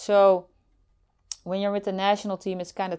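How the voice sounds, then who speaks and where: A woman with a Dutch accent speaks at a medium pitch in a dark, mellow tone, recorded very cleanly against a silent background. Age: 50s. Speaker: former Olympic softball player. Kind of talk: interview. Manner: halting.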